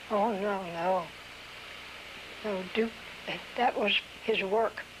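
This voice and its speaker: A woman with an American accent speaks very slowly. Her intonation stays fairly even. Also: medium pitch for a woman. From Delaware, US. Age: 80s+. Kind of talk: oral history interview answer.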